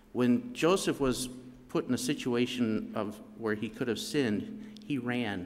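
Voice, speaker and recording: There is light background noise. A man speaks with lively intonation. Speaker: youth leader. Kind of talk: church devotional talk. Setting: church. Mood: earnest, calm. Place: church. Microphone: podium.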